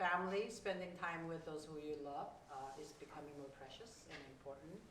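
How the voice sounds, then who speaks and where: Very deep, low pitch from a woman, with ordinary pitch variation and audible room echo. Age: 60s. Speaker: community organizer and activist. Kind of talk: panel discussion. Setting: stage with audience.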